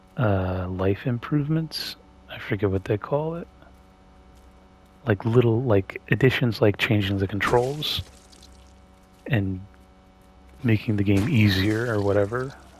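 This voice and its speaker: A man's somewhat breathy, fairly low voice at a fairly slow pace, with ordinary pitch variation and long, frequent pauses. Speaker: gaming streamer. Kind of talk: gameplay commentary. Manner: rambling, hesitant with fillers. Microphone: voice quiet relative to game sound.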